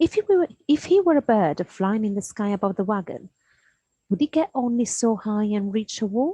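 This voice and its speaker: Soft-spoken and somewhat breathy, a woman talks at a moderate pace with a fairly high pitch, lively intonation and a dark, mellow tone. The sound is dry and close with no echo against a quiet background. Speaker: primary school teacher. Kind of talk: reading aloud. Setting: at home, in dressing gown. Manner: halting.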